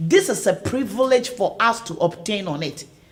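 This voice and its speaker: A woman speaks in a fairly high, somewhat breathy voice with an animated tone. Her pitch swings very widely. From Ghana. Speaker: online talk show host. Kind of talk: live stream promotional chat.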